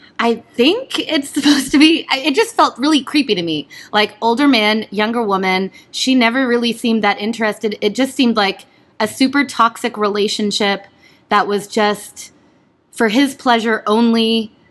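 A woman has a normal speaking voice, fairly high in pitch. She speaks at a moderate pace with ordinary pitch variation. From Canada, Ontario (partly raised in Pennsylvania). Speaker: stage performer. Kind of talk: casual chat.

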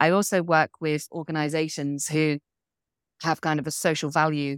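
Moderate pace, monotone, flat intonation, and a southwest English accent. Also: woman. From England, Devon. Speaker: coach and business owner. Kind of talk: interview conversation. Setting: video call.

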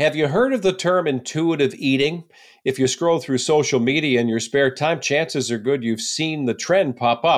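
In a very clean recording with a silent background, a man with an unremarkable speaking voice talks at a moderate pace, his fairly high pitch showing ordinary pitch variation. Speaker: podcast host. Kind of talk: interview.

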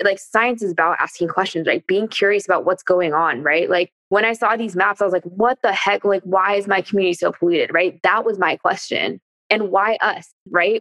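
With a Californian accent, a woman speaks at medium pitch and a fairly quick pace, her intonation fairly even and the sound dry and close with no echo. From East Bay Area, California. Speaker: former biology teacher, nonprofit co-founder. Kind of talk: casual chat.

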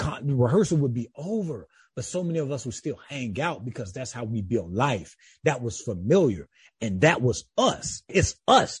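The man's voice is somewhat breathy and swings very widely in pitch. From US South, rural South Carolina. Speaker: author and theology student. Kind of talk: interview.

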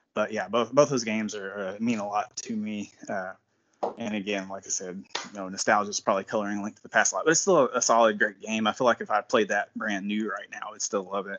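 A man's fairly low voice, an unremarkable speaking voice, with fairly even intonation and hardly any pauses. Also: fairly quick pace. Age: 40s. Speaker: library worker and fan event organizer. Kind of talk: casual chat.

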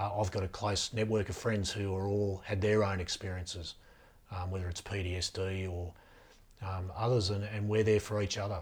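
A man speaks at a moderate pace in a fairly low, somewhat breathy voice with fairly even intonation. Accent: Australian. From Australia, rural New South Wales (Riverina). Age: 40s. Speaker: former police officer and bodyguard, mental health advocate. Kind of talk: interview.

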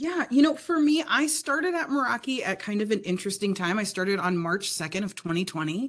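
A woman's plain, everyday voice at a moderate pace, with lively intonation, on a very clean recording with a silent background. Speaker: sales account manager. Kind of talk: casual podcast interview. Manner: articulate, polished.

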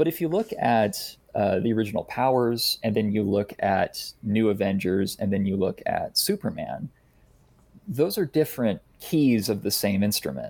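On a very clean recording with a silent background, a man talks at a moderate pace with very even loudness. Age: 30s. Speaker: comic book artist and writer. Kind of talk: casual interview. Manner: halting, many fillers and repeats.

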